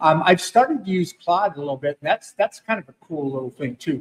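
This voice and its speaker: Here a man talks at a moderate pace. His intonation is lively. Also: dry, close sound with no echo. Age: 60s. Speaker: podcast host. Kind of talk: casual interview chat.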